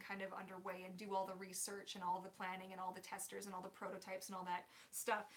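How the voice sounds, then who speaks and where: Over noticeable background noise, a woman talks with a Canadian accent. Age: 30s. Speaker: mermaid performer and tail maker. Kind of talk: live stream Q&A. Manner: casual, filler-heavy.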